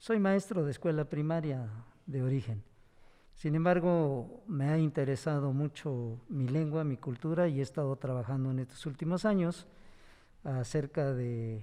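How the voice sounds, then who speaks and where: Speaking fairly slowly, a man with a fairly high pitch has a dark, mellow tone. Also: ordinary pitch variation. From Hidalgo, Mexico (Ixmiquilpan). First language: Otomi (Hñähñu) (speaking Spanish). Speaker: teacher and language activist. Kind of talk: panel discussion.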